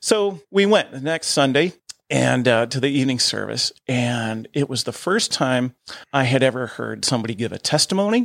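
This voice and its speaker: A man with an American accent and a normal speaking voice, medium pitch, lively intonation and a moderate pace, in a dry, close sound with no echo. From Ohio, US Midwest. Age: 50s. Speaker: church deacon and musician. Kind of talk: testimony. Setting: studio.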